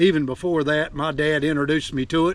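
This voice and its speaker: At a moderate pace, the speaker talks with an Appalachian accent and fairly even intonation. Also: man. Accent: Appalachian Southern US. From Appalachia, Virginia. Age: 70s. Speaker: outdoorsman, forager. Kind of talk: outdoor tutorial vlog. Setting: outdoors on a mountain. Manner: casual, folksy.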